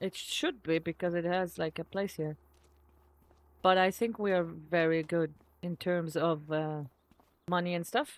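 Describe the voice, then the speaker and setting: Speaking at a fairly slow pace, a woman with a fairly low pitch leaves long, frequent pauses. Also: dry, close sound with no echo, very clean recording, silent background. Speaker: gaming video creator. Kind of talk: gameplay commentary.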